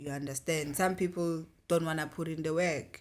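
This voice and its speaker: On a very clean recording with a silent background, a woman with a South African accent speaks at a moderate pace. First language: isiZulu. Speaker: podcast co-host. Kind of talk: casual podcast discussion.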